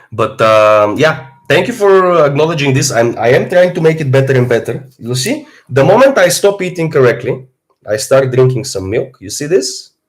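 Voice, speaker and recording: With music in the background, a man with an Eastern European accent talks at a moderate pace in a fairly high pitch, his intonation lively. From Bulgaria. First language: Bulgarian. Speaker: fitness streamer. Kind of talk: live stream Q&A.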